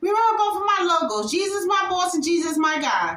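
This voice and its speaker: Raising and projecting her voice, a woman speaks in a bright, sharp tone with ordinary pitch variation. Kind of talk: casual vlog outro. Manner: loud.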